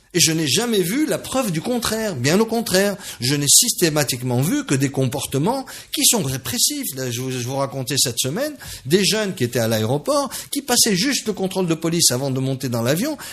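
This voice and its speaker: Over noticeable background noise, a man talks at a fairly quick pace. His voice is high with very wide pitch swings. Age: 60s. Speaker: business leader. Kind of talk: radio interview. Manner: halting.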